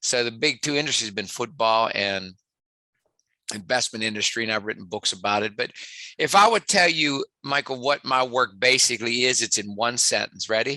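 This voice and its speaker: A man with a West Virginia accent, his tone bright and sharp, in a dry, close sound with no echo against a quiet background. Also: medium pitch for a man, ordinary pitch variation, moderate pace. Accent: West Virginia twang. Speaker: sports psychologist and motivational speaker. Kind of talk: podcast interview.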